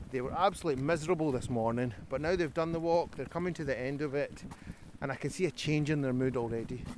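A man speaks very fast in a Scottish accent. His pitch is fairly high, with ordinary variation. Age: 40s. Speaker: organisation founder, walk leader. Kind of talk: casual interview. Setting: outdoors on a forest walk.

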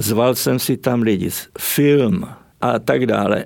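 A man talks at a very slow pace. His medium pitch shows ordinary variation. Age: 80s+. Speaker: writer and artist, former stage technician. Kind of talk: interview.

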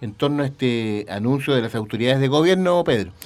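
A man speaks at a medium pitch. His voice swings very widely in pitch. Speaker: radio host. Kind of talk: radio interview. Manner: halting, many fillers.

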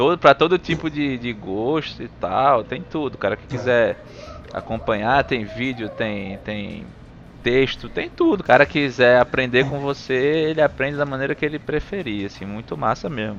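Over music in the background, a man speaks at a medium pitch and a moderate pace with ordinary pitch variation. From Recife, Brazil. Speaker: podcast host. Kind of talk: casual chat.

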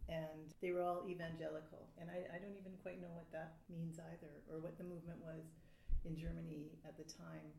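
Speaking fairly quickly in a Canadian accent, a woman has a fairly low pitch, a dark, mellow, somewhat breathy tone and flat, monotone intonation. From Canada. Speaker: writer. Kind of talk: panel discussion.

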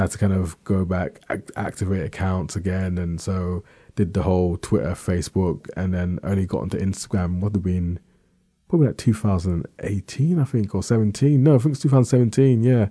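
Over a quiet background, a man with a very deep, low pitch and a dark, mellow tone speaks at a fairly quick pace. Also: ordinary pitch variation. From South East London. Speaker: podcaster. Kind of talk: casual interview chat. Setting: studio.

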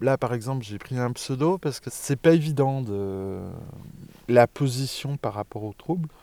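The very clean recording with a silent background captures a man talking fairly slowly in a dark, mellow tone, with ordinary pitch variation and big swings in loudness. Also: medium pitch for a man. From Franche-Comté, France. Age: 40s. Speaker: former teacher living with bipolar disorder. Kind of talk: interview, personal testimony. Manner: hesitant, with frequent fillers and repetitions.

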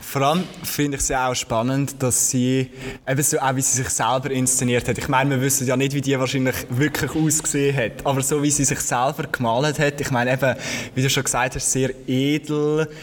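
Over noticeable background noise, a man speaks at a medium pitch in a monotone, flat intonation with very even loudness. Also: fairly quick pace. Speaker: podcast host. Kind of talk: live podcast conversation. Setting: museum with live audience.

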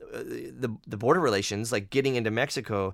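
A man talks at a very fast pace with an American accent. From United States. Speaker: podcast host and musician. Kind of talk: casual chat.

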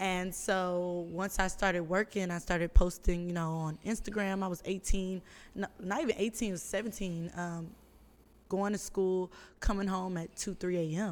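Speaking at a moderate pace, a woman with an unremarkable speaking voice keeps a medium pitch and fairly even intonation. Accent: American. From Houston, Texas. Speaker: influencer and modeling agency owner. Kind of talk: casual chat.

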